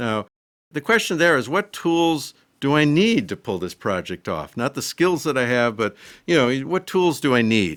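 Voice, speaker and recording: With an American accent, a man speaks in a bright, sharp tone with very wide pitch swings, recorded dry and close with no echo on a very clean track with a silent background. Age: 60s. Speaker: woodworking hobbyist YouTuber. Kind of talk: casual video talk. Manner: conversational with fillers.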